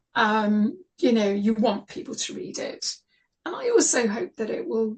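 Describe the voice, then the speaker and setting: Speaking at a fairly slow pace, the speaker sounds somewhat breathy. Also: woman. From southern England. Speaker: author. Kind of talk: radio interview.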